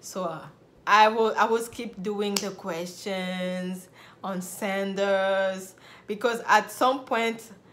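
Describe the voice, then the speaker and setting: A woman talks in a fairly level tone while the room's echo can be heard. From Republic of Congo. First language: French. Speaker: nurse and video blogger. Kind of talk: personal story vlog.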